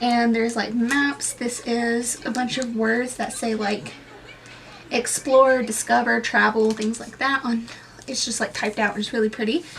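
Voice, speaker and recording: A woman's fairly high voice at a moderate pace, intonation fairly even, with noticeable background noise. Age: 20s. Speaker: booktuber vlogger. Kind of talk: casual vlog, product show-and-tell. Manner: casual, filler-heavy.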